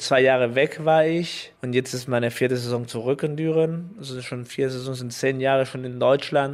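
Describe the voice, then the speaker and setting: This man has a medium-pitched voice and fairly even intonation. His pace is moderate. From Chile. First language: Spanish (speaking German). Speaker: professional volleyball player. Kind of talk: interview. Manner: halting, many fillers.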